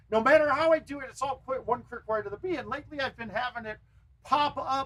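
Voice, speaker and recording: A man with an extremely high pitch speaks fairly quickly in an animated tone with lively intonation. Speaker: gaming live streamer and pro arcade golf player. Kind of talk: casual live stream gameplay commentary. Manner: loud.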